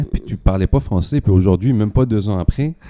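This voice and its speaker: A man's fairly low, dark, mellow voice at a fairly quick pace, with a dry, close sound and no echo. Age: young. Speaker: podcast host. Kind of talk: interview.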